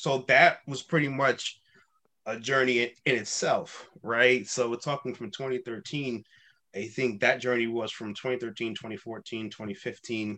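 With an American accent, a man speaks very slowly at medium pitch in a bright, sharp tone with ordinary pitch variation. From New York City (Queens). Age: 30s. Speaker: life coach and podcaster. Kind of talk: casual interview chat.

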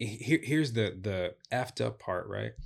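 Against a quiet background, a man with an American accent and an ordinary speaking voice talks at a fairly slow pace and a medium pitch. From Chicago. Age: 30s. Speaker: relationship speaker. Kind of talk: casual interview chat. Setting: studio.

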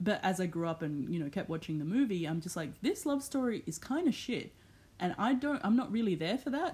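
Speaking at a fairly quick clip, a woman with a somewhat breathy, animated voice at medium pitch makes very wide pitch swings, captured in a very clean recording with a silent background. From El Salvador, raised in Australia. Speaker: podcast co-host. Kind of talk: casual chat.

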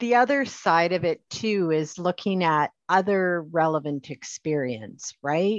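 A woman with a Canadian accent and an unremarkable speaking voice talks at a fairly slow pace with hardly any pauses. Her fairly low pitch carries lively intonation, and the sound is dry and close with no echo. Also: quiet background. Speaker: podcast host and HR instructor. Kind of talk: casual interview conversation.

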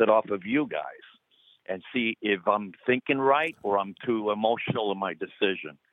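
Pitch variation is ordinary and the pace moderate. It is an ordinary speaking voice. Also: man. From Cuba, raised in US. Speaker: retired firefighter. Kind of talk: phone-in conversation. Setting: phone call. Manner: casual.

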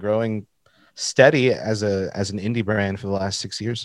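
A man talks in a normal speaking voice at medium pitch, with a moderate pace, fairly even intonation, and a very clean recording with a silent background. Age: 30s. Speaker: graphic designer and merch brand owner. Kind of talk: casual chat.

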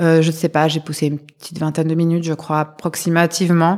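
A woman talks in a very deep, low voice. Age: 30s. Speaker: mother sharing birth story. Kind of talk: testimony.

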